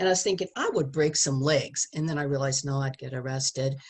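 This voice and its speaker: A woman talks in a somewhat breathy voice, her pitch varying in an ordinary way. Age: 70s. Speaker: sex education speaker. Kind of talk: testimony.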